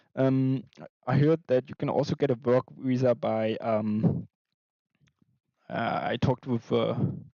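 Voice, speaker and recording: A man speaks with a German accent at a medium pitch and a fairly slow pace. His intonation stays fairly even, and he takes long, frequent pauses. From Germany. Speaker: artist and animation streamer. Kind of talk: casual live stream chat. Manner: quiet, held back.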